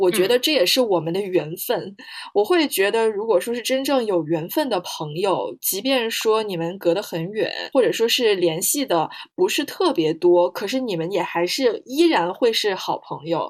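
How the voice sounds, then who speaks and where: Very wide pitch swings from a woman at medium pitch, delivered at a moderate pace. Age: 20s. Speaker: podcast co-host, comparative literature PhD student and interpreter. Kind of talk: casual chat.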